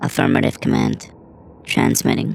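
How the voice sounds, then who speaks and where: Speaking at a moderate pace, a man performs a put-on character voice. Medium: audio drama. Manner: clipped, mechanical.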